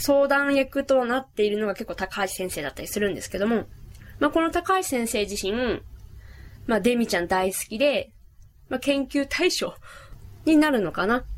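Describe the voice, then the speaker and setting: A woman speaks high in pitch with lively intonation. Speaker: podcast host. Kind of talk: casual monologue. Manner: fast.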